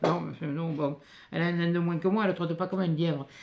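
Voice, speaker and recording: Talking at a fairly quick pace, a woman with a fairly low pitch keeps her intonation fairly even. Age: 60s. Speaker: youtuber reading mail. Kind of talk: casual chat. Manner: halting.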